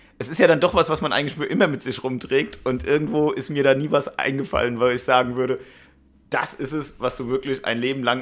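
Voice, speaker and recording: Here a man speaks at a fairly quick pace in an ordinary speaking voice. His pitch is medium, and its variation is ordinary. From Hanau, Hesse, Germany. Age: 30s. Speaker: local politician. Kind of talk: interview.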